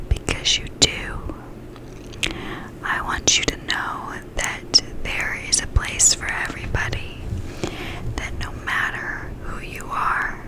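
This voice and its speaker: A woman whispering very slowly in a soothing tone, with long, frequent pauses, big swings in loudness, and noticeable background noise. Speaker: ASMR creator. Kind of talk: ASMR ear whispering with positive affirmations. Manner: whispered, slow, soothing.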